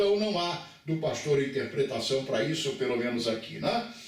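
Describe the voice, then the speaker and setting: A man speaks with lively intonation. Room echo is audible and background noise is noticeable. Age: 70s. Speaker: pastor. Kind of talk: bible lecture.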